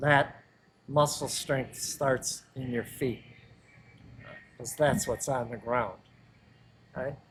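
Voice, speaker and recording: With long, frequent pauses, a man with an American accent speaks at a very slow pace, somewhat breathy, with fairly even intonation. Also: medium pitch for a man. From US Midwest (Joliet, Illinois). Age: 70s. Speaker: personal trainer. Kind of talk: casual interview chat.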